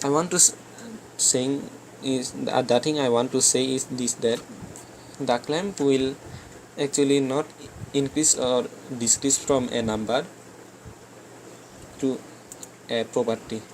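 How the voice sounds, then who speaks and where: A man with a non-native accent speaks at a fairly slow pace, with fairly even intonation and long, frequent pauses. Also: medium pitch for a man. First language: not English. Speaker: game development tutor. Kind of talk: screen-recorded coding tutorial. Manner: halting, frequent self-corrections.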